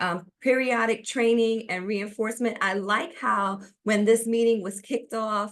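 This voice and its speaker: The speaker talks at a moderate pace in a New York accent over a quiet background. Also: woman. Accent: New York City. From US, New York City. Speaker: business consultant presenting a webinar. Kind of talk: webinar presentation. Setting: online webinar.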